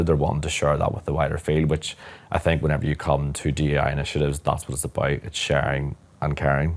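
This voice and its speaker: A man with a Northern Irish accent, a very deep, low pitch and fairly even intonation. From Northern Ireland, near Belfast. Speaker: corporate lawyer. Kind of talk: interview conversation.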